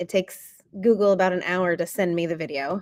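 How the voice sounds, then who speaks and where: A woman with a normal speaking voice speaks at a medium pitch and a fairly quick pace, with fairly even intonation. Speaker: biology teacher. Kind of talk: lecture.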